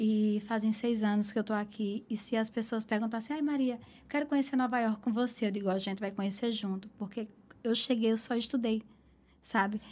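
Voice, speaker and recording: A woman speaks at a fairly high pitch and a fairly quick pace. Her voice is somewhat breathy, with fairly even intonation. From Caruaru, Pernambuco, Brazil (Northeast). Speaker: aesthetician and entrepreneur. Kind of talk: interview.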